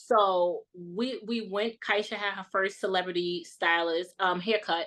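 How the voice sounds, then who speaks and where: At a fairly slow pace, a woman with a New York accent speaks at a medium pitch in a bright, sharp tone with fairly even intonation, over a quiet background. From Brooklyn, New York. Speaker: content creator. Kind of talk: casual chat.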